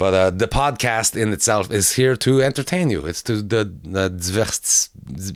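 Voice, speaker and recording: A man with a Quebec accent speaks at a fairly slow pace in a fairly low pitch, his intonation lively, on a very clean recording with a silent background and a dry, close sound with no echo. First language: French. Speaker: comedian. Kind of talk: casual chat. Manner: halting.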